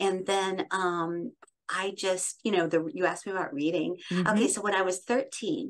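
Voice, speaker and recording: A woman talks at a moderate pace with an American accent. Her intonation is lively. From US Midwest (Iowa). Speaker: radio host and voiceover artist. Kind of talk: interview conversation. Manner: warm, effusive. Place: home room. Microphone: studio mic.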